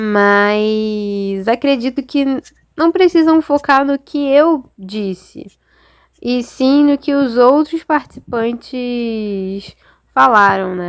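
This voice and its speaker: Recorded dry and close with no echo, a woman speaks very slowly in a high pitch with lively intonation. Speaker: art history student researcher. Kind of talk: reflective recap.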